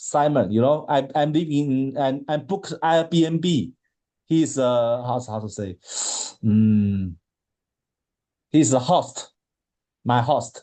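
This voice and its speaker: A man with a Chinese accent at medium pitch, a dark, mellow tone and lively intonation, very slow with long, frequent pauses. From China. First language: Mandarin Chinese. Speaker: marathon swimmer. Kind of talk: interview. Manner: halting, many repetitions.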